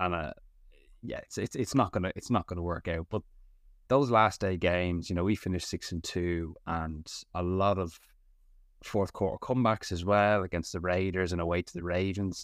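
Here a man talks with a very deep, low pitch at a moderate pace. The recording is very clean with a silent background, and his intonation stays fairly even. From Ireland, Dublin. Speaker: sports podcaster, NFL draft analyst. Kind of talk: casual chat.

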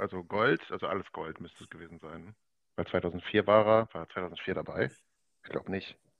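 A man's very deep, low voice with big swings in loudness and fairly even intonation. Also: moderate pace. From Ruhr area, Germany (Oberhausen). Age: 20s. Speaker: esports gamer, basketball video game league champion. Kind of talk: casual podcast interview.

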